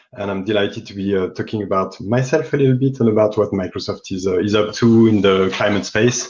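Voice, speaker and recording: With a French accent, a man rattles on at a very fast pace with hardly any pauses, his fairly low voice showing ordinary pitch variation. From France. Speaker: climate investment fund business development lead. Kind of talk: interview. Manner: halting.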